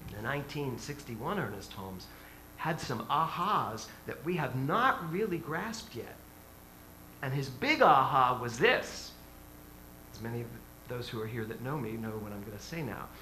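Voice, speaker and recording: A man at medium pitch and moderate pace, lively intonation, big swings in loudness, long, frequent pauses, and audible room echo. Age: 60s. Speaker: minister. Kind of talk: sermon. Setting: church. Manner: animated.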